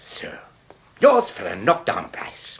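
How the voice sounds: Slowly and with very wide pitch swings, a man performs a put-on character voice pitched fairly low.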